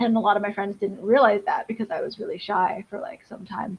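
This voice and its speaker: A woman speaks in a somewhat breathy voice. Her pitch varies in an ordinary way. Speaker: comic creator. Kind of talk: casual chat. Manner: fast.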